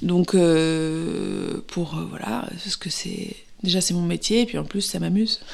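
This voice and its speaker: A woman speaks very slowly in a fairly low voice with ordinary pitch variation, over noticeable background noise. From Paris, France. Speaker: actress. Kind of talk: interview. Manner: hesitant, many fillers and repetitions.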